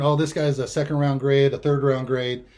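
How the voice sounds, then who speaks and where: A man speaks in an American accent at a fairly high pitch. He has a normal speaking voice. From California, Bay Area. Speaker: sports radio commentator. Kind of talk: casual sports chat. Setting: home studio.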